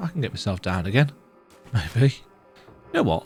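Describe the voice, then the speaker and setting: There is music in the background while a man talks, his pitch swinging very widely. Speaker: gaming video creator. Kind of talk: casual gameplay commentary.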